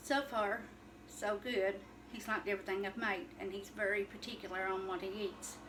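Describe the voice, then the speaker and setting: A woman with an Appalachian accent and medium pitch at a moderate pace, over noticeable background noise. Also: ordinary pitch variation. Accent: Appalachian Kentucky. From Eastern Kentucky, Letcher County. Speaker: cooking vlogger. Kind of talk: casual cooking video chat. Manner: halting, many fillers.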